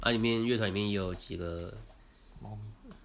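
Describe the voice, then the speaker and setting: There is audible room echo around this man's voice. He speaks at a fairly low pitch with fairly even intonation. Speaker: podcast co-host. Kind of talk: casual chat. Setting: recording at co-host's home.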